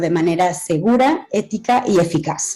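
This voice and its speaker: A woman with a medium-pitched voice and lively intonation speaks over noticeable background noise. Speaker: AI health policy expert speaking at a conference. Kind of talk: conference talk. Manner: halting.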